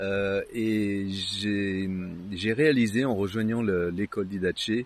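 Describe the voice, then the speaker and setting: A man at a very slow pace with fairly even intonation, against a quiet background. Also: fairly low pitch for a man. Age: 60s. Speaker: Bible school student. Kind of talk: testimony. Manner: halting with repetitions.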